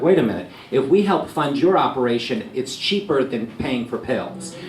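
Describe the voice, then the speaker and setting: Noticeable background noise and audible room echo surround a man whose pitch sits fairly high. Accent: New York. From New York City, Staten Island. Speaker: TV news anchor. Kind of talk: after-lunch talk to a live audience. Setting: lunch event with a live audience. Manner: conversational, with ums and uhs.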